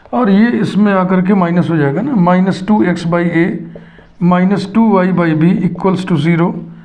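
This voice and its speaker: Noticeable background noise and audible room echo accompany a man's high voice, delivered at a moderate pace with very even loudness. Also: ordinary pitch variation. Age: 60s. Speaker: math teacher. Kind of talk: lecture.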